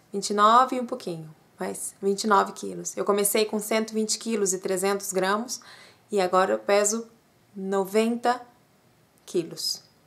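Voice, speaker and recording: With long, frequent pauses, a woman speaks at a very slow pace in a medium pitch and fairly even intonation. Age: 30s. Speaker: vlogger. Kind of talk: personal vlog testimony. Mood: personal, earnest. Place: home room. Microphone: webcam.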